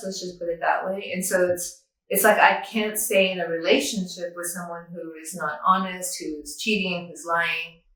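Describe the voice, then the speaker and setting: Audible room echo comes through as a woman speaks with fairly even intonation. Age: 60s. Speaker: near-death experiencer, yoga teacher and author. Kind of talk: interview testimony.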